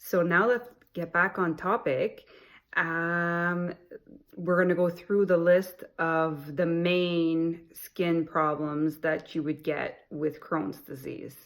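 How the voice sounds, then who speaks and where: A woman with a French accent and fairly low pitch, speaking at a very slow pace with fairly even intonation, in a very clean recording with a silent background. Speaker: health vlogger with Crohn's disease. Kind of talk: informational vlog.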